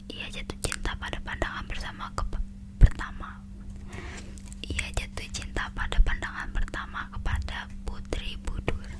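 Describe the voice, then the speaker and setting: Whispering at a moderate pace over noticeable background noise. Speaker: ASMR creator. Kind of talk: read story. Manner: whispered.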